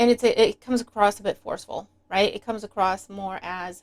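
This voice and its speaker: The voice belongs to a woman. Her pitch is medium. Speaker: tarot reader. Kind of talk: tarot reading. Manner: fast; animated.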